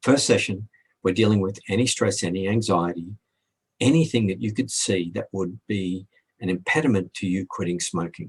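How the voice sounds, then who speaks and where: A man speaks at a moderate pace, somewhat breathy and fairly low in pitch, with ordinary pitch variation. The sound is dry and close with no echo. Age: 60s. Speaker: hypnotherapist. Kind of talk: video FAQ.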